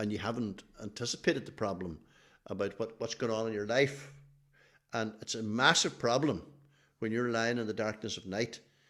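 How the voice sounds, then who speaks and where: Someone with a Donegal accent speaks at a moderate pace with ordinary pitch variation and long, frequent pauses. The recording is very clean, with a silent background. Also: man, medium pitch for a man. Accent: Donegal Irish. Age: 70s. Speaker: athletics team manager. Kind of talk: podcast interview.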